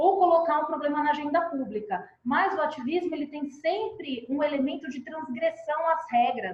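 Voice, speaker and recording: A woman talks at a moderate pace. Her pitch is high, with ordinary variation. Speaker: advocacy expert presenter. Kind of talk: webinar presentation.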